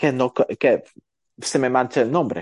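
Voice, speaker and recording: The tone is dark and mellow, the intonation fairly even. It sounds dry and close with no echo, against a quiet background. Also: man. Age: 30s. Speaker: photographer and entrepreneur. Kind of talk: casual interview chat.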